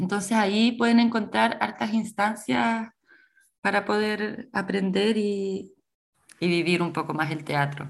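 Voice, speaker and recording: Here a woman has a plain, everyday voice with a medium pitch. She speaks at a fairly slow pace with lively intonation. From Chile, Coquimbo region. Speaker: actress and theatre teacher. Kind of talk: radio interview.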